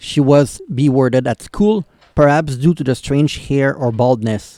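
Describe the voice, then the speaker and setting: A dark, mellow tone in a Quebec accent, with a dry, close sound and no echo. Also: man. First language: French. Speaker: YouTube reactor. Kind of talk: reaction video commentary. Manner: halting.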